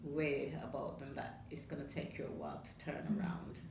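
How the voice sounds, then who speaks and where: Speaking fairly slowly, a woman comes through with noticeable noise in the background. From Caribbean. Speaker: foster carer. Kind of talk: interview answer.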